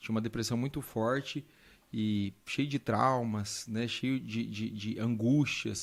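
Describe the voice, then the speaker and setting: With a slight Minas Gerais accent, a man talks at medium pitch with ordinary pitch variation. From Brazil, south Minas Gerais (Pouso Alegre). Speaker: doctor. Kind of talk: interview testimony.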